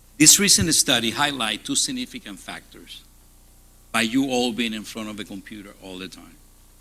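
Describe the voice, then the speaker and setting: Male voice in a Spanish accent, bright and sharp in tone, with big swings in loudness. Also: medium pitch for a man, ordinary pitch variation, moderate pace. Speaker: hospital CEO. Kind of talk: conference keynote talk. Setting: stage with audience.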